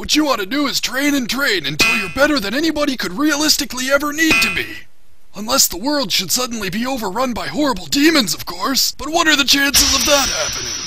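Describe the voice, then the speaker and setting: Over loud background noise, a man uses a put-on character voice, raised and projected. He races along at a very fast pace with an extremely high pitch. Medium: fan dub. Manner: rambling, cranky.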